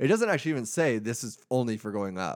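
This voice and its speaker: A man with an unremarkable speaking voice talks at a fairly quick pace and medium pitch, recorded very cleanly against a silent background. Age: 30s. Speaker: podcast co-host. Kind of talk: casual chat.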